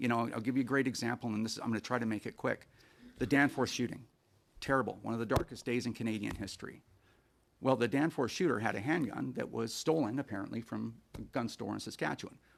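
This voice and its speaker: Very fast speech from a man at a medium pitch, with vocal fry and ordinary pitch variation, on a very clean recording with a silent background. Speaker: firearms advocacy witness. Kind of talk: committee testimony. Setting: senate committee hearing.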